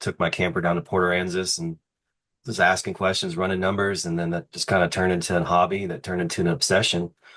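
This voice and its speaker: A man speaks in a very deep, low pitch. His intonation is monotone and flat. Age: 30s. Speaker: RV park developer and builder. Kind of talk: podcast interview. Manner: casual, filler-heavy.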